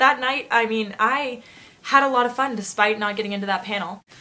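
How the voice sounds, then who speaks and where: A woman speaks in an animated way, her fairly high voice bright and sharp, with lively intonation. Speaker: vlogger. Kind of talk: casual vlog storytelling. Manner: fast.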